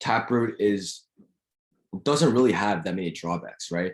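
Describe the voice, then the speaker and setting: This man has a fairly low pitch. His pitch varies in an ordinary way. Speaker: student lecturer. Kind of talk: lecture. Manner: fast.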